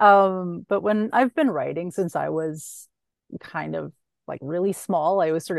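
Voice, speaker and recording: In a dry, close recording with no echo and a quiet background, a woman with an unremarkable speaking voice talks at a moderate pace, her fairly low pitch showing ordinary variation. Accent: Canadian. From Canadian prairies, Saskatchewan. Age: 40s. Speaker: author and former crime reporter. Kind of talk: casual interview.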